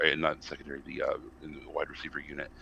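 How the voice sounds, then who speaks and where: American-accented male speech. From US South. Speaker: college football podcast panelist. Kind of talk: casual sports discussion. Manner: animated, ranting; halting with many fillers.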